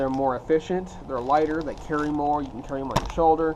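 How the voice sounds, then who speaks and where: With an American accent, a man talks at a very fast pace in a fairly high, monotone, flat voice against noticeable background noise. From Texas. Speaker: fishing YouTuber. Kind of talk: tutorial. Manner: casual, conversational.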